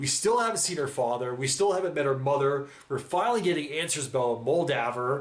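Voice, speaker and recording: A man with a fairly high voice speaks in an animated tone with ordinary pitch variation, and room echo is audible. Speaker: reaction youtuber. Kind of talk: casual monologue reacting to a TV episode.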